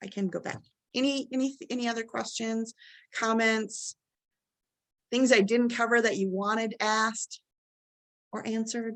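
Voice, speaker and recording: Against a quiet background, a woman with a fairly high pitch speaks with long, frequent pauses. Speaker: college instructor. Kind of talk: webinar presentation. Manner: fast.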